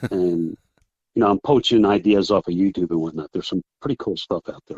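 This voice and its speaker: In an American accent, a man talks at a fairly quick pace and fairly low pitch with ordinary pitch variation, a normal speaking voice, and a dry, close sound with no echo. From New Jersey. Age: 60s. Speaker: fly fishing guide. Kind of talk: casual chat.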